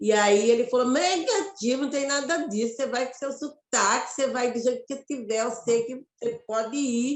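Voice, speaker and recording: With a Mato Grosso accent, a high-pitched woman talks at a moderate pace with ordinary pitch variation and hardly any pauses. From Mato Grosso, Brazil. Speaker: actress and poet. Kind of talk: interview conversation. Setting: web radio live.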